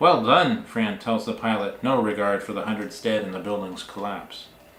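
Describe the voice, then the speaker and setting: A man's voice with audible room echo. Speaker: author. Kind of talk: reading aloud.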